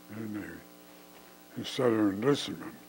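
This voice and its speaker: There is noticeable background noise while a man talks at a moderate pace. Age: 90s. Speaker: war veteran. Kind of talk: testimony. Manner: halting.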